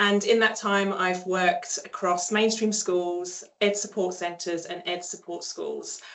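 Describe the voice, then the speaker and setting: Over noticeable background noise, a woman with an English accent speaks at a medium pitch and a fairly slow pace, with monotone, flat intonation and hardly any pauses. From England. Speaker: speech pathologist. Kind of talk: online seminar presentation. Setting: online seminar.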